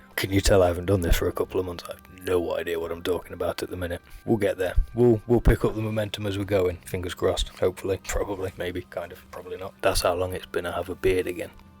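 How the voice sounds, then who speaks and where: Over music in the background, a man talks at a very fast pace with hardly any pauses. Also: big swings in loudness. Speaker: leather crafter and channel host. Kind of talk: casual tutorial vlog. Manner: casual, self-deprecating, chatty; loud.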